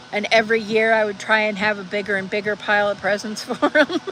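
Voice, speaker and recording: A woman's fairly high voice moves at a moderate pace while noticeable background noise runs underneath. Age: 50s. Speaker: livestreamer reading chat. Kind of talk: casual livestream chat.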